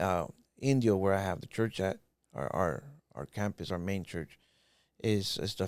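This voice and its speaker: In a very clean recording with a silent background, a man with an American accent and a very deep, low pitch speaks at a moderate pace, using ordinary pitch variation and long, frequent pauses. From Southern California (Los Angeles, then Desert Hot Springs). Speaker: pastor. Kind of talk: testimony.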